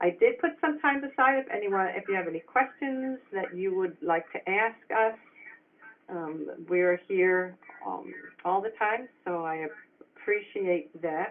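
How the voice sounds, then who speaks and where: With an American accent, the speaker talks at a fairly slow pace with lively intonation. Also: woman, medium pitch for a woman. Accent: New York accent, comes out when nervous. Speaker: early childhood center director. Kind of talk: webinar presentation. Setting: webinar. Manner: halting.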